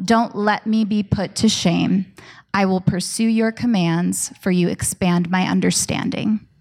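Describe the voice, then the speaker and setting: On a very clean recording with a silent background, a woman uses a normal speaking voice at a medium pitch, talking at a fairly slow pace with very even loudness and fairly even intonation. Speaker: church pastor. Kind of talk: scripture reading and introduction. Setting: church.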